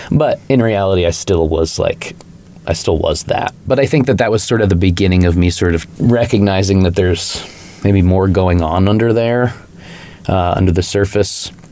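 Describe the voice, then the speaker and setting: Through noticeable background noise, a man speaks at a moderate pace with very even loudness and ordinary pitch variation. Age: 30s. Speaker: recovering alcoholic, punk musician. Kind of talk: podcast interview. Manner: casual, many fillers like 'like' and 'you know'.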